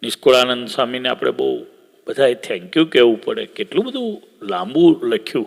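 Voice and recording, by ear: A man speaks at a fairly quick pace with vocal fry and big swings in pitch. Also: medium pitch for a man.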